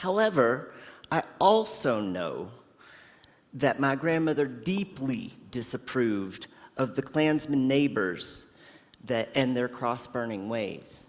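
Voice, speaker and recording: Speaking very slowly with an American accent, a man uses a medium pitch that swings very widely. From US South (Tennessee family, grew up in Georgia). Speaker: lay speaker at a fellowship service. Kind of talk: personal reflection talk. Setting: Zoom-recorded church service. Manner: conversational with hesitations.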